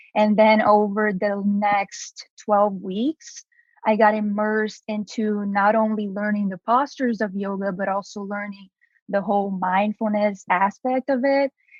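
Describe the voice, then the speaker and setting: A woman with a Brazilian Portuguese accent, medium pitch, fairly even intonation, and a fairly slow pace. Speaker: entrepreneur, activewear founder. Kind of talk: podcast interview.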